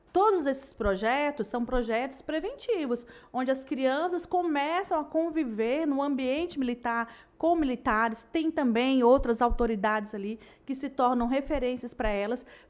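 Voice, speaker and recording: A woman speaks at a high pitch. Her pace is moderate, with ordinary pitch variation. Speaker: military police officer. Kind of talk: panel interview. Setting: studio.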